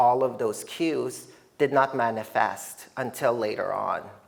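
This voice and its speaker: Over noticeable background noise, the speaker talks at a fairly slow pace with a slight Filipino accent. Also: man. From Philippines, moved to Canada at nine. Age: 30s. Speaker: artist. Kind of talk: artist talk. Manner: hesitant, many fillers.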